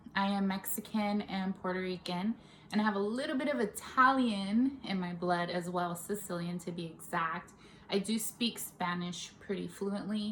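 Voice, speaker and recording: A woman with a Bay Area accent speaks at a moderate pace. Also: medium pitch for a woman, ordinary pitch variation. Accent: Bay Area flavor. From California, Stockton. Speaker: makeup artist and beauty vlogger. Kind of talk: casual vlog chat. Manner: casual, with many fillers.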